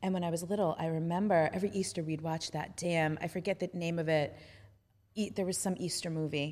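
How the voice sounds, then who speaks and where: A woman with a plain, everyday voice, fairly low in pitch and fairly even in intonation, on a very clean recording with a silent background. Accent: American. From Staten Island, New York. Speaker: embodiment teacher. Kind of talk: casual chat.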